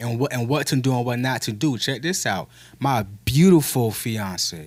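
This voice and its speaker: A man talks at a moderate pace in a medium pitch with an animated tone. His intonation is lively. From Texas, Temple area. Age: 30s. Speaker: podcast host. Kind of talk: casual chat.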